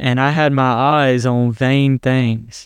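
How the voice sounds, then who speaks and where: Here a man speaks with a Southern US accent at medium pitch. His intonation is fairly even, and the background is quiet. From US South, South Carolina. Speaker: Bible college student. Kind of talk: testimony.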